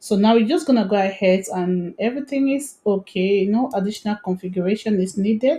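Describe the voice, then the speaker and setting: Somewhat breathy woman's voice, medium-pitched with a dark, mellow tone, ordinary pitch variation, a fairly quick pace, and hardly any pauses. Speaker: tech tutorial creator. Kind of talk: screen-recorded tutorial. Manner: fast.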